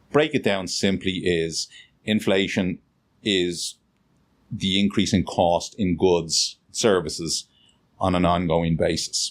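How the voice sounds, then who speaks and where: A man with a Dublin accent, very deep and low in pitch, at a very slow pace with long, frequent pauses, very even in loudness, on a very clean recording with a silent background. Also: ordinary pitch variation. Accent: Dublin Irish. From Dublin, Ireland. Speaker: financial planner. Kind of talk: interview answer.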